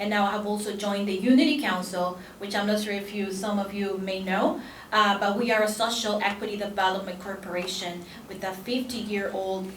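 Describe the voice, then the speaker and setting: Amid noticeable background noise and audible room echo, a woman with a Spanish accent speaks at a fairly quick pace, her medium-pitched voice keeping a fairly even intonation. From El Salvador. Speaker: immigrant rights advocate and attorney. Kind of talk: conference panel talk. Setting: conference panel with audience. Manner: halting with frequent fillers.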